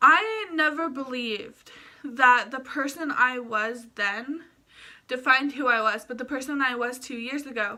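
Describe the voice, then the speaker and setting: A woman speaks in a raised, projected voice at a high pitch. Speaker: vlogger. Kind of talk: casual vlog talk to camera. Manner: fast; sometimes stumbles over words.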